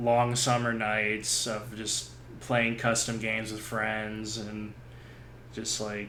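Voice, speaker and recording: In a room with audible echo, a man speaks very slowly with a fairly low pitch, a bright, sharp tone, and monotone, flat intonation. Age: 30s. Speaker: gaming podcast host. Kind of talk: casual chat. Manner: halting, many fillers.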